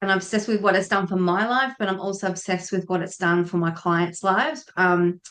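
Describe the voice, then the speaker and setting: A woman with an Australian accent speaks at a fairly quick pace, with hardly any pauses. Her voice sits at a medium pitch and has ordinary pitch variation. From Tasmania, Australia. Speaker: feng shui consultant, former air force member. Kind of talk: podcast interview.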